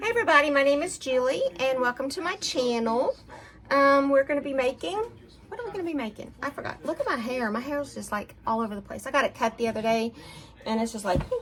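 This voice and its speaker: With an American accent, a woman talks at a very fast pace and a high pitch. Background noise is noticeable. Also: lively intonation. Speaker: cooking vlogger. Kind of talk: casual cooking video. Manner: casual, meandering.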